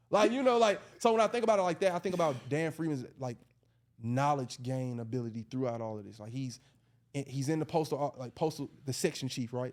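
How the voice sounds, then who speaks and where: With an Atlanta accent, a man speaks at a fairly quick pace, his fairly high pitch carrying lively intonation and big swings in loudness. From Atlanta, US South. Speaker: educator. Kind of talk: casual podcast discussion.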